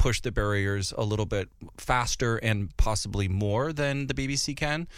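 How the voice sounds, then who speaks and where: Speaking with an American accent, a man uses lively intonation at a moderate pace. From North Dakota, US. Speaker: figure skater and TV dance professional. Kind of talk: casual interview chat. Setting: studio. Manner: animated.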